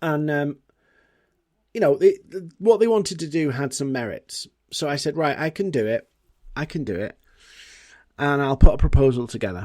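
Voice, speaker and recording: With a British accent and fairly high pitch, a man speaks at a moderate pace with lively intonation, big swings in loudness and long, frequent pauses on a very clean recording with a silent background. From Britain. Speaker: podcast host, marketing and LinkedIn consultant. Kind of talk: solo podcast monologue. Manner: casual, conversational.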